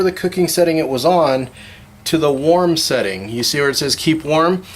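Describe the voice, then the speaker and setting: Background noise is noticeable behind this man. His pitch is fairly high, his pace fairly quick and his pitch variation ordinary. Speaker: cooking channel host. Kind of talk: cooking tutorial. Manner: fast.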